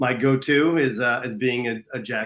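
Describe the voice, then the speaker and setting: With a slight US East Coast accent, a man talks at a fairly slow pace with fairly even intonation. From US East Coast, New Jersey or Philadelphia area. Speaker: business mentor, operations and marketing leader. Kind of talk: casual interview. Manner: passionate, many fillers.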